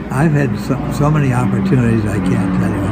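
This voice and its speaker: A man with an American accent at a medium pitch and fairly quick pace, with audible room echo and noticeable background noise. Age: 90s. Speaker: war veteran. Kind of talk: interview. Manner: halting.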